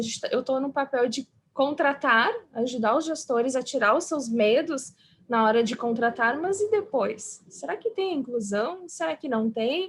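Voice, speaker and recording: A woman with a slight southern Brazilian accent speaks in a high voice. She keeps a moderate pace. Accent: gaúcho accent, slight. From southern Brazil (Rio Grande do Sul). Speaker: psychologist, diversity and inclusion specialist. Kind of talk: panel interview.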